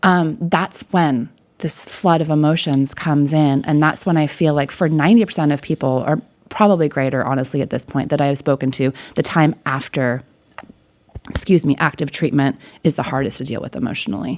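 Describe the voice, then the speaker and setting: Her pitch very deep and low, a woman talks at a fairly quick pace in an animated tone with ordinary pitch variation. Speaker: life coach and breast cancer survivor. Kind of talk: interview. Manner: loud.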